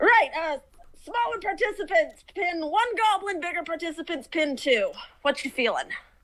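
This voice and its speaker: In a put-on character voice, a woman sounds gruff at an extremely high pitch while keeping a moderate pace. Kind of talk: casual, rough banter. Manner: gruff, sizing you up.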